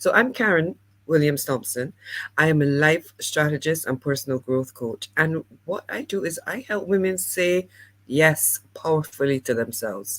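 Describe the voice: At a moderate pace, a woman speaks with a low pitch. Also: lively intonation.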